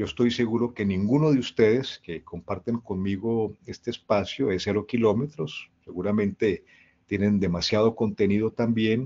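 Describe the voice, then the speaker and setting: At a moderate pace and with fairly even intonation, this is a normal speaking voice. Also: man, fairly low pitch for a man. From Colombia. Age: 60s. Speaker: leadership speaker. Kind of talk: talk to an online audience.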